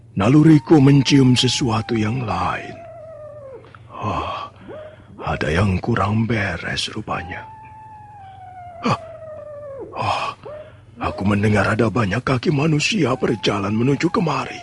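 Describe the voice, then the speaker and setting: A man's put-on character voice at a medium pitch, with long, frequent pauses and clear background noise. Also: fairly slow pace, ordinary pitch variation. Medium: audio drama. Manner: slow, contemplative sighs.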